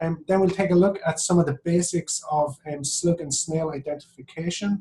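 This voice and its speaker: A man with an Irish accent speaks at a fairly quick pace, his high-pitched voice showing ordinary pitch variation. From Ireland, Athlone (midlands). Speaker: professor. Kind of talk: webinar lecture. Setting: online webinar.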